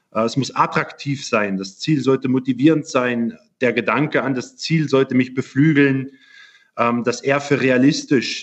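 With an unremarkable speaking voice, a man talks at a moderate pace and medium pitch. His intonation is fairly even. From Germany. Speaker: physiotherapist. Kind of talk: interview. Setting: video call.

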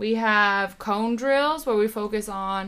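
The recording is very clean, with a silent background. A woman speaks at a very slow pace, using ordinary pitch variation. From Canada. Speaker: athletic trainer. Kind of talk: casual chat.

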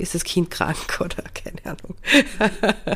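A woman is whispering. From Austria, Carinthia. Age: 40s. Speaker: adoptive mother. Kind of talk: podcast interview.

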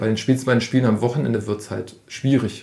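A man's medium-pitched voice, a normal speaking voice. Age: 40s. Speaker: youth football coach. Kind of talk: interview.

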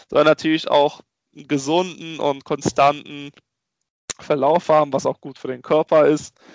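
A man with a fairly high pitch speaks at a fairly slow pace in a flat monotone, leaving long, frequent pauses. The sound is dry and close with no echo, over a quiet background. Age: 20s. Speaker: entrepreneur and network founder. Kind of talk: interview.

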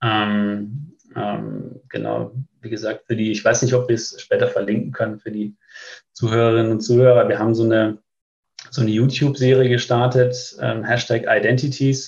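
A man's somewhat breathy voice at medium pitch, in a flat monotone. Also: moderate pace. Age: 30s. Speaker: business start-up consultant for tax firms. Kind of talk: casual interview. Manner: hesitant, many filler sounds.

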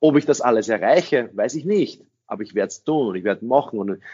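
The man's delivery comes at a moderate pace, his intonation lively throughout. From Austria. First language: English (speaking German). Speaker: sales trainer. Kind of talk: interview.

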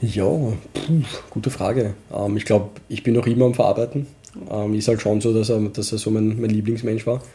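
A man with a slight Viennese accent speaks at medium pitch and a moderate pace with fairly even intonation. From Vienna, Austria (Donaustadt), Pakistani roots. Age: 30s. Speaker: office worker and hobby metal musician. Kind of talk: casual chat. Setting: at home at the dining table.

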